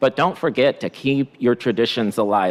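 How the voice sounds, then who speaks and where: A man's normal speaking voice, medium in pitch with ordinary pitch variation, at a moderate pace, in a dry, close recording with no echo. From immigrant, came to US at nine. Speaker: school superintendent. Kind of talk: formal remarks at school board meeting.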